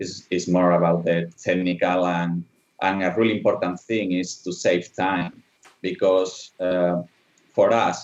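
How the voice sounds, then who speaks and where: A man talks fairly slowly in a very deep, low voice. His intonation is monotone and flat. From Spain. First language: Spanish. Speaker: animatronic designer. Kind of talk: online conference presentation. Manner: halting.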